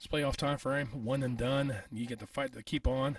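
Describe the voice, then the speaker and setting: A man speaks at a moderate pace in a somewhat breathy voice. The recording is very clean, with a silent background. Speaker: sports talk youtuber. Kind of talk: solo sports commentary vlog. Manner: casual, hesitant with many fillers.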